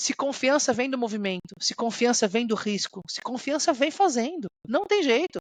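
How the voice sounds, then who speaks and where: A woman speaks at a high pitch with lively intonation. The sound is dry and close with no echo, over a quiet background. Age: 30s. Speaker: corporate executive. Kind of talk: interview.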